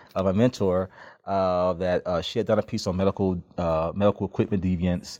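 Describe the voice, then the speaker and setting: In a Memphis accent, a man with a very deep, low pitch speaks at a fairly quick pace with fairly even intonation, in a dry, close recording with no echo and a quiet background. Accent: Southern US (Memphis) English. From Memphis, Tennessee, US South. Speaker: criminal justice PhD candidate, former police officer. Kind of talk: interview conversation. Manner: frequent hesitations and fillers.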